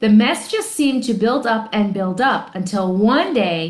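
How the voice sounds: The pitch variation is ordinary in this natural reading voice.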